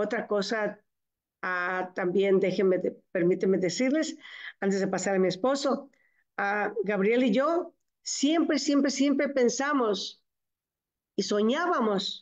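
Against a quiet background, a woman with a fairly high pitch and lively intonation talks at a very slow pace with long, frequent pauses. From Mexico, Michoacán. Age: 70s. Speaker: network marketing distributor. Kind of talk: testimony. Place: home room. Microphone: video call.

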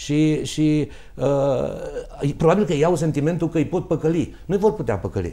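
The pace is fairly slow as a man talks. Pitch variation stays ordinary. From Romania, Târgu Mureș; Romania. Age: 50s. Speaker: doctor and mayoral candidate; candidate. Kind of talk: political debate. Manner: halting. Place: studio. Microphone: lapel.

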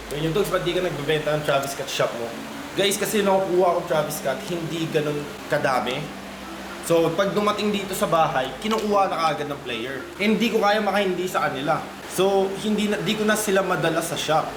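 A man's high voice with ordinary pitch variation at a fairly quick pace, amid audible room echo and noticeable background noise. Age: 30s. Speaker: vlogger and sneaker shop owner. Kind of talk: casual vlog talk. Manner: animated.

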